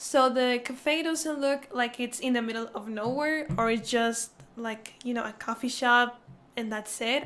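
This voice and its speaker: A woman speaks with a non-native accent. Her pitch is high and her intonation fairly even. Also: fairly slow pace. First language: not English. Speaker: gaming YouTuber. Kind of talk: casual gameplay commentary. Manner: casual, hesitant.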